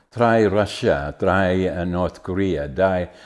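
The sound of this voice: A man speaks with a low pitch and a slightly mellow tone. His intonation stays fairly even.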